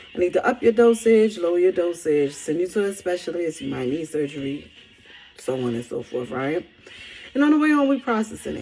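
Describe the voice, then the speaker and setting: A woman's fairly low voice with a Barbadian accent, lively intonation and a fairly quick pace, over noticeable background noise. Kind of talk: casual spiritual message to camera.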